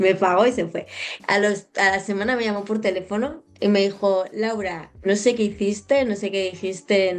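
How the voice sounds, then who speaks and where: At a moderate pace, a woman with a medium pitch talks with fairly even intonation. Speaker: podcast host and hypnotherapist. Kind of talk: casual interview chat.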